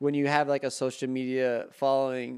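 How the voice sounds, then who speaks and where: A man mumbles in a monotone, flat intonation with an American accent. The recording is very clean, with a silent background. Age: 20s. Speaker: real estate agent and podcaster. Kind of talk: casual chat. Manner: mumbled words.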